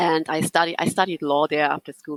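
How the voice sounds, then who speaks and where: In a German accent, the voice comes through dry and close, with no echo. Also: woman. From Germany. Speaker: psychotherapist. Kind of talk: interview. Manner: halting.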